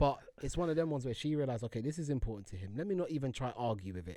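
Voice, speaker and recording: A man with a London accent talks at a very fast pace in a medium pitch, his intonation lively. His tone is dark and mellow, and the recording is very clean with a silent background. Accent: London Multicultural English. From London (Harlesden). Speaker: podcast co-host. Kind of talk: casual chat.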